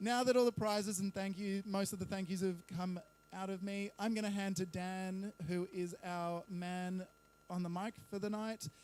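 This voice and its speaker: A high-pitched man with an Australian accent, at a moderate pace and with fairly even intonation. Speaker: bar owner and event organiser. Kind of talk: live event announcement.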